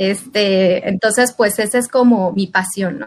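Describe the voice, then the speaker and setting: A woman with a plain, everyday voice talks at a fairly slow pace, her pitch varying in an ordinary way. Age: 30s. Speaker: insurance agent. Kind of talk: casual chat.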